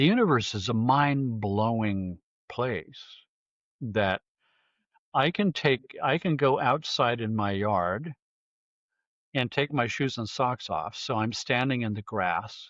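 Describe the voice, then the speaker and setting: A man with a medium-pitched voice speaks at a very slow pace with lively intonation. He leaves long, frequent pauses. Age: 70s. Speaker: sound healing researcher. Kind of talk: interview.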